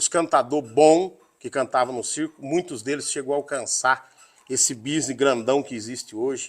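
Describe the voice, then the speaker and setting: A man speaking at a moderate pace. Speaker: rodeio announcer. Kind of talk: interview answer.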